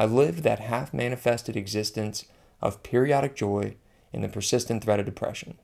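A man speaks with a dark, mellow tone and vocal fry. The recording is very clean, with a silent background. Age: 30s. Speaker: former physician. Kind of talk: personal essay narration.

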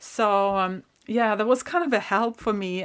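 A woman with a Swedish accent talks at a fairly slow pace and medium pitch on a very clean recording with a silent background. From northern Sweden. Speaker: spiritual podcast host. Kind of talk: personal storytelling monologue. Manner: halting.

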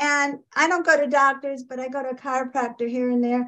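A woman's high-pitched voice comes through with little else to be heard behind it. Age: 70s. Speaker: caller. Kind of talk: live Q&A. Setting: video call.

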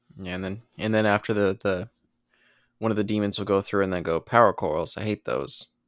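A man's normal speaking voice, fairly low in pitch with fairly even intonation, on a very clean recording with a silent background. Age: 20s. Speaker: podcast co-host. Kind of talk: casual chat.

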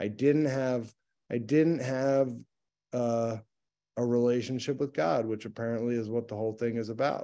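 Over a quiet background, a man with an American accent speaks at a moderate pace in a medium pitch, his tone dark and mellow and his intonation fairly even. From US, Philadelphia. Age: 40s. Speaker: recovery meeting speaker. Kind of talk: personal testimony.

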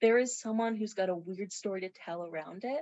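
With a Canadian accent and a normal speaking voice, a woman talks at a fairly quick pace and fairly high pitch, using lively intonation. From Morris, Manitoba. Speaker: museum volunteer. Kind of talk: casual storytelling.

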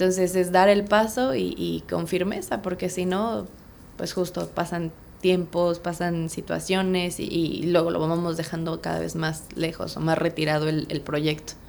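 A woman's normal speaking voice, fairly low in pitch, with fairly even intonation at a fairly slow pace. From Mexico City. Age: 30s. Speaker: real estate agent. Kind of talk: interview.

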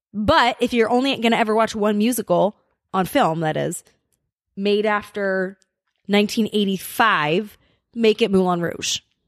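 Woman with a Californian accent, medium pitch and animated tone, ordinary pitch variation, moderate pace broken by long, frequent pauses, dry close sound with no echo, very clean recording with a silent background. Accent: general American (Californian). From Los Angeles, US West Coast. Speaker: podcast co-host. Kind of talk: casual chat. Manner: laughs often.

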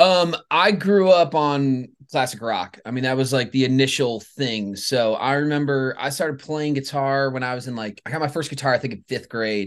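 With an American accent, a man speaks in a plain, everyday voice at medium pitch, with ordinary pitch variation and a moderate pace. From Michigan, Grand Rapids area. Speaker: songwriter and artist. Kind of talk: casual interview chat.

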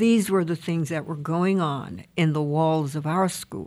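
Recorded very cleanly against a silent background, a woman with an American accent speaks at a fairly low pitch with ordinary pitch variation. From US South. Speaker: interfaith minister. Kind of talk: casual chat. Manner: halting.

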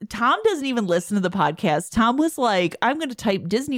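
A woman with a Midwestern accent, fairly quick and lively in intonation, in a very clean recording with a silent background. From US Midwest, Chicago. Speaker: podcast host. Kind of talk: casual chat.

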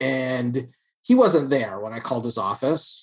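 With an American accent, a man uses an unremarkable speaking voice at medium pitch, showing ordinary pitch variation at a fairly slow pace. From New York City. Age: 50s. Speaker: artist and cancer survivor. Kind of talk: casual chat. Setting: video call.

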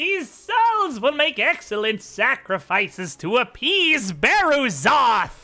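A man's put-on character voice, extremely high in pitch with very wide pitch swings, at a fairly slow pace. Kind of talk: villainous overacting, almost comedic. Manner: gleeful, cackling, gloating.

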